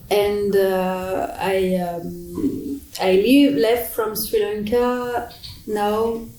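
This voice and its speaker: Ordinary pitch variation in a French accent, with noticeable background noise and audible room echo. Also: woman. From France. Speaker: adoptee and psychologist. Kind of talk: interview. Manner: halting.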